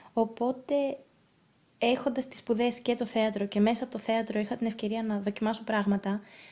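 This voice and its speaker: Somewhat breathy and fairly high-pitched, a woman speaks in a dark, mellow tone with monotone, flat intonation. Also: moderate pace. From grew up abroad (Russia, Norway), Greek family. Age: young. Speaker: actress and producer. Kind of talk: casual interview.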